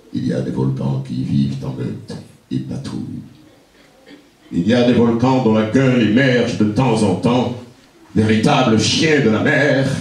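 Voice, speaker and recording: Music plays in the background as the speaker goes at a fairly slow pace with very wide pitch swings. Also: man. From Martinique. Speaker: poet-griot, performer. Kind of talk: poetry reading. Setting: live performance in a library.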